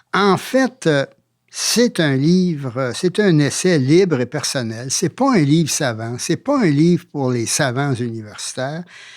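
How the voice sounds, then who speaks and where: Lively intonation at a very slow pace on a very clean recording with a silent background. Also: man, fairly high pitch for a man. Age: 80s+. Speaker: author and former university rector. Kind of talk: interview. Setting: studio. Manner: halting, many fillers.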